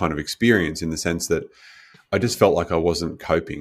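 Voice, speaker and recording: An Australian accent with ordinary pitch variation, in a very clean recording with a silent background. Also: man. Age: 40s. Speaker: life coach and speaker. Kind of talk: podcast interview.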